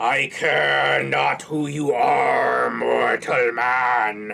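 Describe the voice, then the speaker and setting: A put-on character voice growls. It moves at a very slow pace. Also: man. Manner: snarling, haughty.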